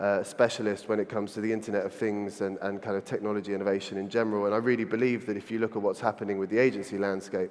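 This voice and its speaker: Flat and monotone, a man with a fairly low pitch talks at a very fast pace. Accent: London. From London, England. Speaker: agency founder, conference speaker. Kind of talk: conference keynote talk. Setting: stage with audience.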